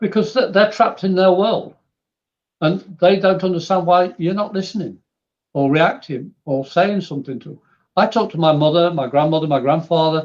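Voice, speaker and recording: A man with an English accent speaks in a high voice. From England. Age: 60s. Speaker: spiritual medium. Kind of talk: podcast interview.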